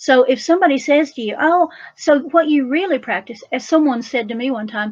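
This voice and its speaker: The speaker has an animated tone. The pace is fairly quick. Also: woman. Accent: Appalachian. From Appalachia. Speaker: folk magic practitioner and author. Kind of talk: talk at a festival.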